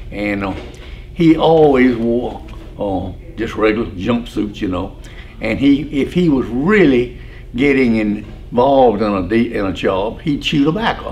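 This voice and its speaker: In an Alabama accent, a man speaks at medium pitch with lively intonation and a fairly slow pace. Audible room echo and noticeable background noise fill the recording. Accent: Southern US (Alabama). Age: 80s+. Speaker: retired farm equipment dealer. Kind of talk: storytelling interview.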